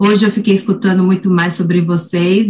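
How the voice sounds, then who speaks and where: Somewhat breathy, a woman speaks. Her pitch shows ordinary variation. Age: 40s. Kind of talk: casual chat.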